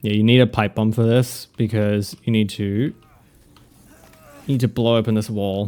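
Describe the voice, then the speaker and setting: An Australian-accented man speaks at a moderate pace, his pitch fairly low and his tone dark and mellow. His intonation stays monotone and flat, broken by long, frequent pauses. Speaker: video game streamer. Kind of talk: live gameplay commentary.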